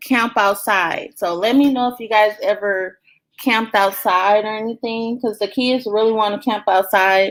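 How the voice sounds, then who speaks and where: A woman with an American accent and a plain, everyday voice, fairly high in pitch with ordinary pitch variation, at a moderate pace in a very clean recording with a silent background. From US South, Belzoni, Mississippi. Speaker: family vlogger, live stream host. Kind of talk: casual live chat reading viewer comments.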